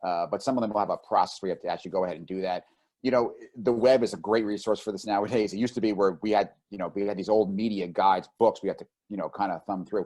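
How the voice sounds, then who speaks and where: In a New Jersey accent, a man talks very fast with a fairly low pitch, a dark, mellow tone, fairly even intonation and big swings in loudness against a quiet background. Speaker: publicist. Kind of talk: webinar presentation.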